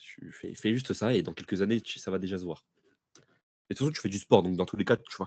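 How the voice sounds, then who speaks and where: A man with a fairly low pitch and a dark, mellow tone talks at a very fast pace, yet with long, frequent pauses. His loudness swings widely and his pitch varies in an ordinary way, in a dry, close sound with no echo. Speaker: podcast co-host. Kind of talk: casual chat.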